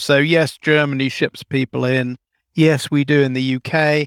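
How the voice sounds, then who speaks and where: In a very clean recording with a silent background, a man speaks with a southern English accent. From London, England. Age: 50s. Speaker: author and demographer. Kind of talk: interview.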